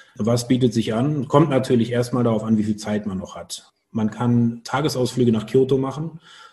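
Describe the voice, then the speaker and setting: A man with a medium pitch, dark, mellow tone and somewhat breathy voice, fairly even intonation, moderate pace and hardly any pauses. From Germany, Cologne area. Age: 40s. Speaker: business travel organizer. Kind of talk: interview.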